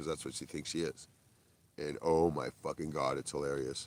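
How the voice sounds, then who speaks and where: With vocal fry and an animated tone, a man talks at a very fast pace. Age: 60s. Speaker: livestreamer and stand-up comedian. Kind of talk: casual livestream chat.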